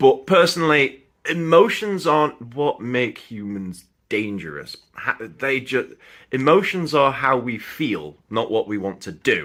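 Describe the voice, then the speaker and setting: A man with a Sheffield accent speaks at a fairly slow pace and medium pitch, animated and with very wide pitch swings, on a very clean recording with a silent background. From northern England, Sheffield. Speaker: film reviewer and actor. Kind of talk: casual film review monologue. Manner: animated, informal.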